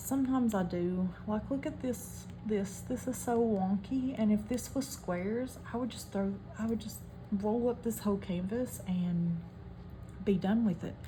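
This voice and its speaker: A woman at a medium pitch with a strong West Virginia accent, fairly slow pace and ordinary pitch variation, amid audible room echo and noticeable background noise. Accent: thick West Virginia. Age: 30s. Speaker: hobby craft vlogger. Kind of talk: casual chat while crafting.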